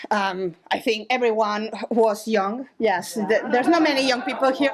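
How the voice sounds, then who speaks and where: Amid noticeable background noise, a woman with a Spanish accent keeps a moderate pace, very even loudness and ordinary pitch variation. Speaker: storyteller at live show. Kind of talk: live storytelling. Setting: stage with audience. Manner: halting.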